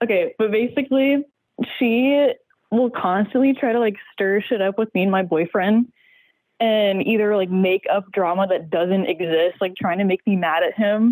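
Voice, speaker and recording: A woman's normal speaking voice, medium in pitch, with ordinary pitch variation and a fairly slow pace, in a dry, close sound with no echo. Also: very even loudness. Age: 20s. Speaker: caller. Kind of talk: advice call on podcast.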